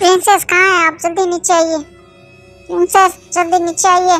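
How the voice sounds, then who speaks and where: Over faint music in the background, a woman uses a put-on character voice at an extremely high pitch, speaking at a moderate pace with monotone, flat intonation. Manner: angry, shouting.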